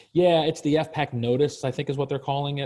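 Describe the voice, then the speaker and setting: With an American accent, a man speaks at a moderate pace in a dark, mellow tone, somewhat breathy, his intonation fairly even. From Virginia. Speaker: leadership program manager. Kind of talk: webinar Q&A. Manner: casual, halting with many fillers.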